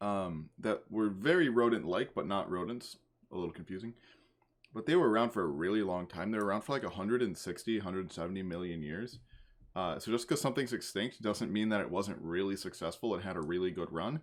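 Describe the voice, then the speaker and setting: A man in an American accent speaks very fast with ordinary pitch variation. The recording is very clean, with a silent background. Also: fairly low pitch for a man. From US Northeast. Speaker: YouTuber. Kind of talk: casual reaction commentary.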